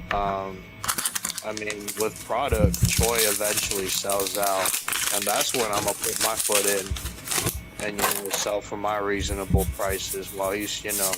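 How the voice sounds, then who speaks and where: With music in the background and audible room echo, a soft-spoken man talks at a fairly slow pace and fairly low pitch with ordinary pitch variation. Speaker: card seller. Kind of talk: casual chat. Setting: livestream. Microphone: too quiet on stream.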